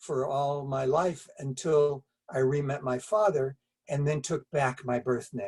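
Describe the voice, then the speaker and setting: A somewhat breathy man's voice, fairly high in pitch, at a very slow pace with fairly even intonation. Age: 70s. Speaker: wellness pioneer, doctor. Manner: halting, with repetitions.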